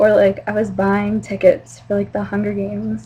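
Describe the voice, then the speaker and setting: Woman with a Mid-Atlantic American accent, fairly low pitch, very wide pitch swings and a moderate pace, over noticeable background noise. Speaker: vlogger. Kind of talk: casual video message to a friend.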